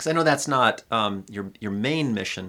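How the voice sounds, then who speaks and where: In an American accent and at a moderate pace, the speaker uses an ordinary speaking voice on a very clean recording with a silent background. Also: man. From Pontiac, Michigan. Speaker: podcast host. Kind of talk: casual chat.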